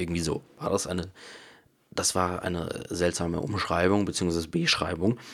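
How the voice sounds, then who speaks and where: A man with a very deep, low pitch talks at a moderate pace, his intonation fairly even. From Bavaria, Munich area. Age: 20s. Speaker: podcaster and YouTuber. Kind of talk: casual solo podcast monologue. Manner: casual, with many fillers.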